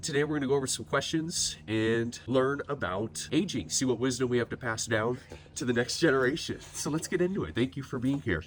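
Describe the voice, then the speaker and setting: Noticeable background noise sits behind the recording. A man speaks at a fairly quick pace and medium pitch with lively intonation. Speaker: mortgage company interviewer. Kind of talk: interview questions.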